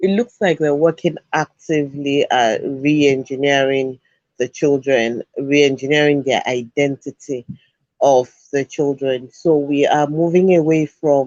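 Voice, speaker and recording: A man with a Yoruba accent and a fairly high pitch speaks at a fairly slow pace with fairly even intonation. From Nigeria (Yoruba). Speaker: education show host. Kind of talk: talk show commentary.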